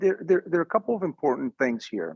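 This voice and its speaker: With lively intonation, a man speaks in a Mexican accent. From northern Mexico, raised in Arizona. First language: Spanish. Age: 40s. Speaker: media executive, former news anchor. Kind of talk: interview. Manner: halting, many fillers and repetitions.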